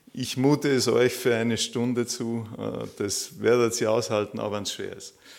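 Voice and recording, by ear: With vocal fry and little pitch movement, a man talks at medium pitch and a fairly slow pace.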